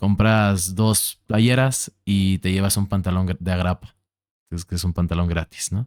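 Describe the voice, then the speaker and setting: A man speaks at a fairly slow pace in a very deep, low voice with a central Mexican accent and fairly even intonation. The sound is dry and close with no echo, and the recording is very clean over a silent background. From Mexico City. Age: 20s. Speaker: podcast host. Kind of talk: casual conversation.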